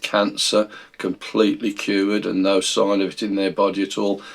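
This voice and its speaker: A man speaks with a British accent. His pitch is fairly low and his pace fairly slow. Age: 60s. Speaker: Bible teacher. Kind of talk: video Bible study talk. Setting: recorded video.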